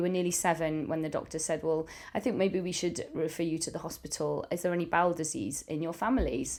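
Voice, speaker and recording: In a very clean recording with a silent background, a woman with a Cardiff accent speaks in a fairly low voice with a dark, mellow tone. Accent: Welsh, Cardiff. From Wales, Cardiff. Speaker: primary school teacher. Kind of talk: casual family interview. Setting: family home.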